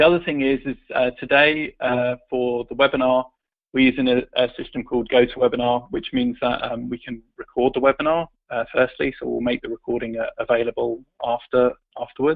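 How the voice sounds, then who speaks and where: A man with a British accent at a medium pitch, fairly quick in pace and fairly even in intonation. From UK. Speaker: tech company executive. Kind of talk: webinar presentation. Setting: online webinar call.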